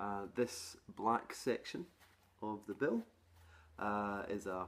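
The man talks in a low pitch with ordinary pitch variation.

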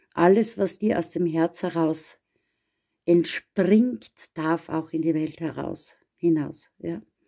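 Over a quiet background, a woman talks very slowly with long, frequent pauses. Her fairly low voice is dark, mellow and warm, with ordinary pitch variation. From Austria. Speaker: astrologer; card reader. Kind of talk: astrology forecast monologue. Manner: warm, personal. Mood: gentle, encouraging. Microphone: phone near.

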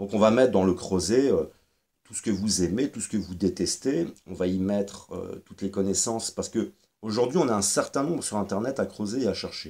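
Man with a dark, mellow tone and fairly low pitch, at a moderate pace with ordinary pitch variation. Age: 40s. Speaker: YouTuber commentator. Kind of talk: monologue video commentary. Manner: halting, many fillers and repetitions. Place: home room. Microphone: webcam.

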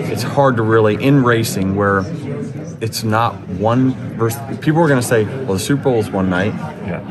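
A man talks with ordinary pitch variation against noticeable background noise. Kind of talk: interview answer. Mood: relaxed, some laughter. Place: hall. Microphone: handheld.

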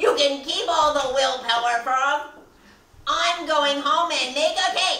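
In a put-on character voice, a woman speaks slowly at a high pitch with a bright, sharp tone. Her pitch varies in an ordinary way, and strong room echo surrounds her.

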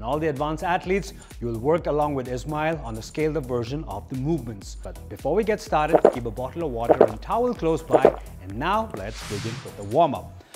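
Clear music plays in the background as a man talks at a fairly quick pace. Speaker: fitness coach. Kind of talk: workout instruction. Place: gym. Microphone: lapel.

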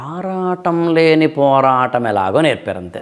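The background stays quiet. A man's voice sits fairly high in pitch. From coastal Andhra Pradesh, Visakhapatnam; Andhra Pradesh. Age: 40s. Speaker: motivational speaker and civil-service exam trainer; motivational speaker, civil-service exam trainer. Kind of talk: interview. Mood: warm, reflective storytelling. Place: home room.

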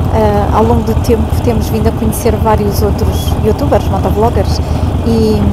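Against loud background noise, a woman speaks at a fairly slow pace in a dry sound with no echo. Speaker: motovlogger. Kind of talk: casual vlog chat. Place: motorbike.

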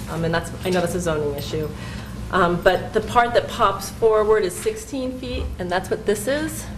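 A woman talks at a moderate pace with a medium pitch and lively intonation. Noticeable background noise runs under her voice. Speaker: architectural designer. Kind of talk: public meeting presentation. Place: meeting room. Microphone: camera far.

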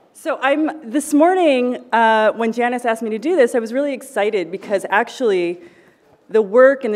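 Over a quiet background, a woman talks at a fairly quick pace. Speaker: panel moderator. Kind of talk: event introduction. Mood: warm, lightly laughing. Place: hall. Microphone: podium.

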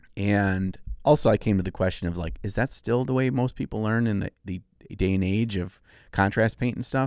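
This is a normal speaking voice at a moderate pace, with ordinary pitch variation. The sound is dry with no echo, and the background is quiet. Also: man, fairly low pitch for a man. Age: 40s. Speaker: miniature painting podcast co-host and YouTuber. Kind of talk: casual chat. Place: studio. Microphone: studio mic.

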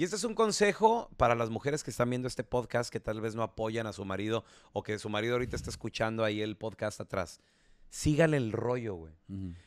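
A man talks very rapidly in a mid-range pitch, with ordinary rises and falls. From Chihuahua, Mexico. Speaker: radio announcer. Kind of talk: casual chat.

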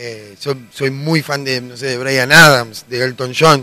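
A gruff, raspy man's voice with a bright, sharp tone, fairly even intonation and a fairly slow pace. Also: medium pitch for a man.

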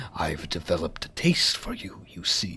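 In a put-on character voice, a raspy, very deep, low-pitched speaker delivers menacing lines at a moderate pace. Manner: breathy, menacing.

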